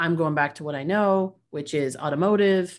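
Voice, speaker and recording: With a Canadian accent, a woman talks in a normal speaking voice at a fairly low pitch, her intonation fairly even. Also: quiet background. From Canada. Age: 40s. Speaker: business leadership coach. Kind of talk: interview conversation.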